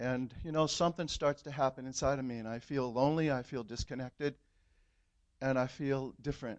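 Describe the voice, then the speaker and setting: A man with an American accent and an unremarkable speaking voice talks at a medium pitch and a fairly quick pace. His intonation is fairly even, with a quiet background. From California. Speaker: church member. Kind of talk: testimony. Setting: church.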